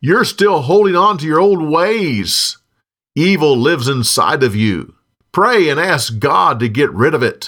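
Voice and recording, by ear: In a very clean recording with a silent background, a man performs a put-on character voice that is fairly high, bright and sharp, with lively intonation at a fairly slow pace.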